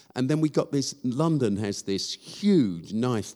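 Very slow speech in an English accent, with a dark, mellow tone. The pitch swings very widely. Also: man. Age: 60s. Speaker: charity founder and church leader. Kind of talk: live interview before a church audience. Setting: stage with audience. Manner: halting, many fillers.

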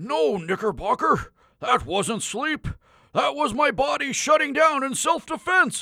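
A man speaks in a put-on character voice pitched extremely high. He talks at a fairly slow pace on a very clean recording with a silent background. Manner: cantankerous, shouting.

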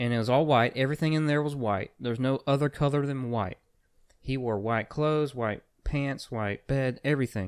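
An unremarkable speaking voice moves at a moderate pace with ordinary pitch variation, on a very clean recording with a silent background. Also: man, medium pitch for a man. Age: 20s. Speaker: podcast co-host. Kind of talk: casual chat.

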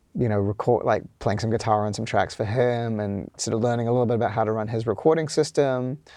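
Fairly even intonation against a quiet background. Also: man. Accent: New Zealand. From New Zealand, Auckland. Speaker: music producer and studio engineer. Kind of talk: casual interview.

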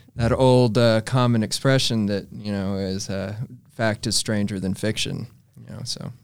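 With an American accent and an unremarkable speaking voice, a man speaks at a moderate pace and fairly low pitch, keeping his intonation fairly even while his loudness swings a lot. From Texas Panhandle (Amarillo). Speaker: novelist. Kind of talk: interview. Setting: studio.

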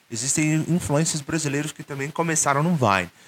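A man with a Brazilian accent, a bright, sharp tone and fairly high pitch, in a dry, close sound with no echo. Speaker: YouTuber and English teacher. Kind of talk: casual monologue vlog. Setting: solo video recording, no editing. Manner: informal, many fillers and hesitations.

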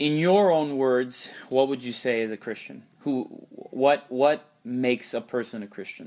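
A man's medium-pitched voice, slightly mellow in tone, at a fairly slow pace with ordinary pitch variation

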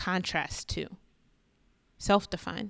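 The recording is very clean, with a silent background. A woman speaks at a medium pitch in a bright, sharp tone. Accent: American. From New York City. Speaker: podcast host, media commentator. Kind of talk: solo podcast monologue. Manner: animated.

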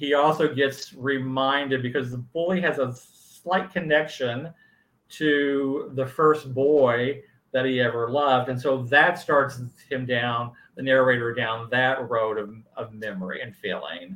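A man talks at medium pitch with ordinary pitch variation in a normal speaking voice. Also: fairly slow pace. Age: 60s. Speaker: author. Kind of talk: casual interview.

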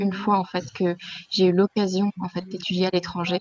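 The woman's pitch sits in the medium range, and she speaks at a moderate pace. The sound is dry and close, with no echo. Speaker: former student. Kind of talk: testimony.

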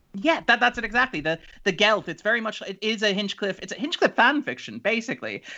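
In an Irish accent, a man speaks very fast with a raised, projected voice, high in pitch, bright and sharp in tone, and lively in intonation. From Ireland. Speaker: writer and critic. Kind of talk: casual interview chat. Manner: chatty.

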